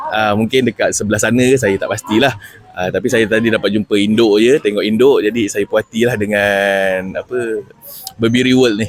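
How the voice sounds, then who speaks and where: A man speaks with monotone, flat intonation. Noticeable background noise runs under his voice. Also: medium pitch for a man, moderate pace. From Malaysia, Johor (Keluang). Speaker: customer of a livestock farming scheme. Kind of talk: testimonial interview. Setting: at a farm festival. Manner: halting, many fillers.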